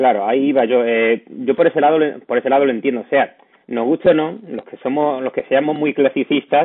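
The speaker is a man in a plain, everyday voice, moving at a fairly quick pace. His medium pitch shifts with ordinary variation. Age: 30s. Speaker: podcast host. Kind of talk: interview.

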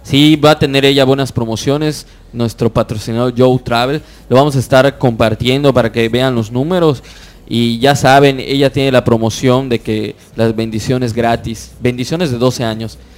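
With an ordinary speaking voice, a man talks at medium pitch and a moderate pace, his intonation fairly even. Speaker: internet radio co-host. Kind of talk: casual chat.

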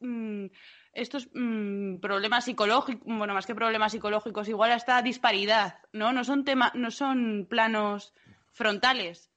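A woman with a normal speaking voice talks at a moderate pace and a fairly high pitch, her intonation fairly even. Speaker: podcast co-host, dreadlock maker. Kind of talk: casual chat.

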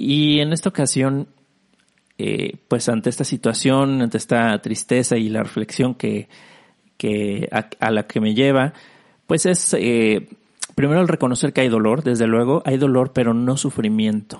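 A man speaks at a fairly slow pace in a medium pitch. His loudness is very even, and his pitch variation is ordinary. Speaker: podcast host. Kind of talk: solo reflective monologue. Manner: low energy, subdued; halting, many fillers and repetitions.

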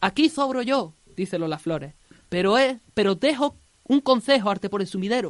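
In a plain, everyday voice, a woman talks at a fairly high pitch with lively intonation, recorded with a dry, close sound and no echo. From Andalusia. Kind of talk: scripted narration.

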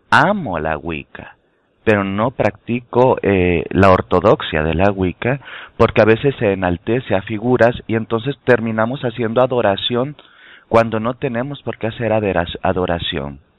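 Using a normal speaking voice, a man talks at a fairly slow pace with medium pitch and lively intonation. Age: 30s. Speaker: tarot and spirituality teacher. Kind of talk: casual chat. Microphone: connection dropping in and out.

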